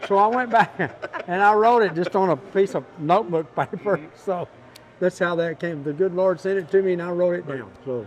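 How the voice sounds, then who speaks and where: A man with a West Texas accent, high in pitch, with ordinary pitch variation at a moderate pace. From Texas, Big Spring. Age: 70s. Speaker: Western swing musician. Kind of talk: casual interview.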